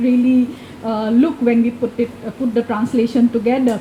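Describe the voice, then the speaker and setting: A woman speaks with an Assam accent at a high pitch. Noticeable background noise is present. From India, Assam. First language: Assamese. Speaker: event moderator. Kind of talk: moderated discussion. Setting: bookshop event with small audience. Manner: halting with many fillers.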